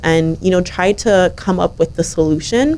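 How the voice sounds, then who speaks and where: A woman with a normal speaking voice, medium in pitch, at a moderate pace, with ordinary pitch variation. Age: young. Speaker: young environmental advocate and government intern. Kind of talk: radio interview.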